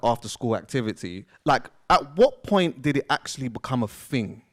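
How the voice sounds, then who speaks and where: With a London accent, a man talks at a moderate pace and medium pitch, the sound dry and close with no echo. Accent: London, Multicultural London English. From London, England. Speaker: podcast host interviewer. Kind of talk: live interview in front of audience. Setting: stage with audience. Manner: casual, filler-heavy.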